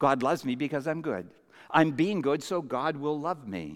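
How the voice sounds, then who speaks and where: Vocal fry in a Canadian accent, on a very clean recording with a silent background. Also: man. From Canada, Vancouver Island. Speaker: pastor. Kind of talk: sermon.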